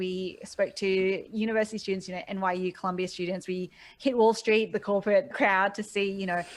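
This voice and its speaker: Speaking with an Australian accent, a woman at medium pitch moves at a fairly quick pace with fairly even intonation and hardly any pauses. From Australia (Sydney). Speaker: e-commerce business mentor. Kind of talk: interview.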